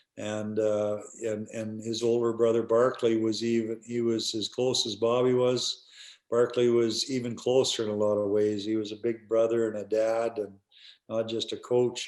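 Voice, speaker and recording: A man with a Canadian prairie accent speaks at a moderate pace in a medium pitch, his intonation monotone and flat against a quiet background. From Canada, rural Alberta. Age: 60s. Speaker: retired hockey player and coach. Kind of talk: interview. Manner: halting, repetitive fillers.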